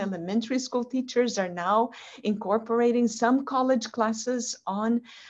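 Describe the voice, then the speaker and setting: Her pitch is fairly high, with ordinary variation. This woman speaks fairly slowly in a Portuguese accent. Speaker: language instructor with a PhD. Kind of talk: interview over video call.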